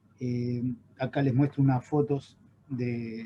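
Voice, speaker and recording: A man speaks with an Argentine accent at a medium pitch, somewhat breathy and with a dark, mellow tone. His intonation stays fairly even. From Argentina. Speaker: chemical engineer, water quality expert. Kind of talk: webinar lecture. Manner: halting, many fillers.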